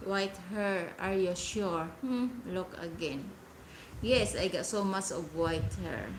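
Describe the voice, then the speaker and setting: Audible room echo and noticeable background noise surround this recording. A woman talks at a very slow pace. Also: medium pitch for a woman, ordinary pitch variation. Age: 40s. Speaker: live streamer. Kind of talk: casual chat. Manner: halting.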